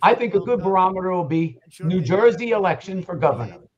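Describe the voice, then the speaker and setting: A man talks loudly at a very fast pace, his high-pitched voice carrying lively intonation. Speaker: political commentator. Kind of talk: heated debate.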